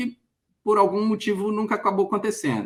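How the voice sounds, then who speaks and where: A man talking at a very fast pace. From Brazil, Minas Gerais (Belo Horizonte). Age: 40s. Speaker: career mentor. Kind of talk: interview. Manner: halting, many fillers.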